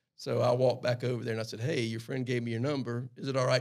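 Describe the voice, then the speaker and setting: A man with a strong Southern US accent at a very fast pace. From US South, South Carolina Lowcountry. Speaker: airline pilot. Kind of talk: casual chat. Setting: studio.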